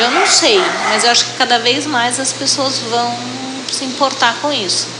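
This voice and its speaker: Amid noticeable background noise and audible room echo, a woman speaks at a fairly high pitch and a moderate pace. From Brazil, São Paulo city. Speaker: coffee brand marketing director. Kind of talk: interview. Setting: restaurant.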